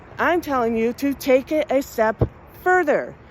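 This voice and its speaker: A woman talks in an animated tone with lively intonation. Noticeable background noise sits behind her. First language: Spanish. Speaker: music podcast host. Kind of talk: monologue to listeners.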